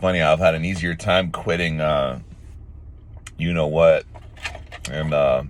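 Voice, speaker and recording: A man's very deep, low voice at a moderate pace, over noticeable background noise. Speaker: self-improvement vlogger. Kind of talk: casual monologue. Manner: casual, with frequent fillers.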